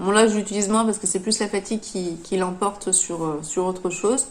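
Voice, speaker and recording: A woman speaks at a medium pitch. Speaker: knitting podcaster. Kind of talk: casual podcast monologue. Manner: halting, many hesitations.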